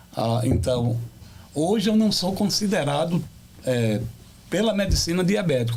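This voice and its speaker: Audible room echo surrounds a man talking at a moderate pace. His pitch swings very widely. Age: 60s. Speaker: pastor. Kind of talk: testimony. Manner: halting.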